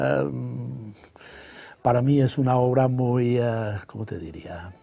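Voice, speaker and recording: A man with a Catalan accent at a very slow pace, with very wide pitch swings and big swings in loudness. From Catalonia, Spain. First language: Catalan (speaking Spanish). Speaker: novelist; guest. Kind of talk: interview. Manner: hesitant, many fillers. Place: studio. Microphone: lapel.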